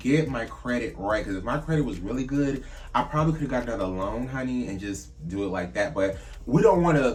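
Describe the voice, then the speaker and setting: A man with a medium pitch talks at a fairly quick pace in an animated tone with lively intonation, amid noticeable background noise and audible room echo. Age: 30s. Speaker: drag queen vlogger. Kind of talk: casual vlog monologue.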